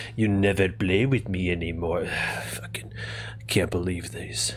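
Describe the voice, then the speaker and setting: A put-on character voice from a man, very deep and low in pitch, at a fairly slow pace over clear background noise. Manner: sulking, indignant.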